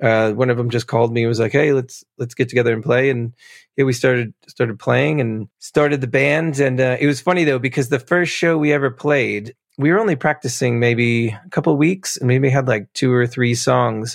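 In an American accent and an unremarkable speaking voice, someone talks fairly quickly with ordinary pitch variation against a quiet background. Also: man, medium pitch for a man. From New Jersey. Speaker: musician. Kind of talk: casual interview chat.

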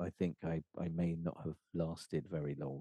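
Recorded dry and close with no echo, a man speaks at a moderate pace in a dark, mellow tone. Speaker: singer-songwriter and composer. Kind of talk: interview. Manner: halting.

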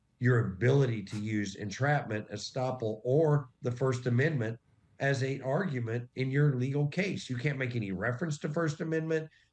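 His voice is medium in pitch and somewhat breathy as this man speaks. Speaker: investigator and documentarian. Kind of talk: interview.

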